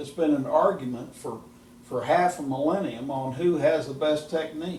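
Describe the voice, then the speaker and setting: Amid noticeable background noise and audible room echo, a man talks at a moderate pace in a fairly high pitch, keeping his intonation fairly even. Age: 70s. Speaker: golf instructor. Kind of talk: casual chat.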